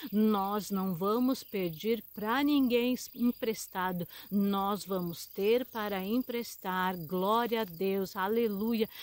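Speaking very slowly with hardly any pauses, a woman with a Brazilian accent uses medium pitch and ordinary pitch variation, the sound dry with no echo. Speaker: preacher. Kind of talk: short sermon with scripture reading. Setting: online video message to channel viewers. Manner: fervent, exhorting, preacher in full flow. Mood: fervent, calm blessing. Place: forest. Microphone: phone near.

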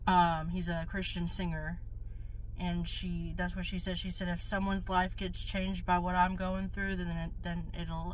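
Speech moves at a fairly slow pace in a dry sound with no echo, over light background noise. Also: woman. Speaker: new vlogger. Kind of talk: casual vlog chat. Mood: calm, earnest, slightly hesitant. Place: car. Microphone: phone near.

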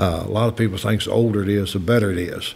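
Speaking at a very fast pace, a man with a Kentucky accent keeps a fairly low pitch and fairly even intonation. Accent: Kentucky Southern American. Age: 80s+. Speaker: master distiller. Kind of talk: interview answer. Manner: folksy, unpretentious.

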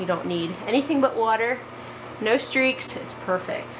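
A woman's fairly high voice with lively intonation over clear background noise. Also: moderate pace.

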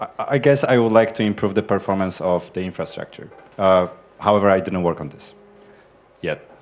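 At a fairly quick pace broken by long, frequent pauses, a man speaks with a fairly low pitch and ordinary pitch variation. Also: big swings in loudness. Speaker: software developer. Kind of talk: conference group introductions. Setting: conference room with microphone. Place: classroom. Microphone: handheld.

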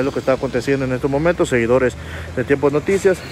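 A man speaks with noticeable background noise. The sound is dry, with no echo. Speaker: news reporter. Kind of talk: on-scene news commentary. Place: street. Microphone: phone near.

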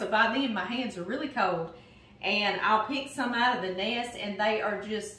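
A woman talks at a moderate pace. There is audible room echo around her voice. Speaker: home cooking host. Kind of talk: casual cooking tutorial chat. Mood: warm, cheerful. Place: kitchen. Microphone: camera far.

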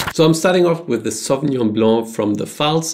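A man's voice with ordinary pitch variation, over a quiet background. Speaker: presenter. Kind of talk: casual commentary. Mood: mildly skeptical.

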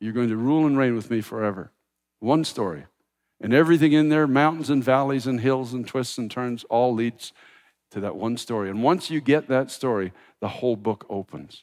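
Over a quiet background, a man talks at a fairly quick pace. His pitch is medium with ordinary variation. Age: 60s. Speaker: pastor. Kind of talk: sermon. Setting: church. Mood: quiet prayer at close. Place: church. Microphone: headset.

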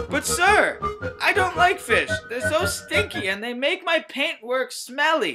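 Faint music plays in the background as a put-on character voice moves at a fairly slow pace. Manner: boastful, teasing.

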